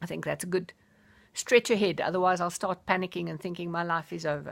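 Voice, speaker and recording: A woman talks very fast, her fairly low voice carrying vocal fry. Her loudness jumps around a lot over a very clean recording with total background silence. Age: 60s. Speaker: life coach. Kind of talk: personal vlog monologue. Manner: enthusiastic.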